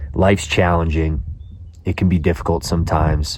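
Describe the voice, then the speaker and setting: A man with a very deep, low pitch and ordinary pitch variation, moderate in pace, with noticeable background noise. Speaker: fitness vlogger. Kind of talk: casual vlog narration.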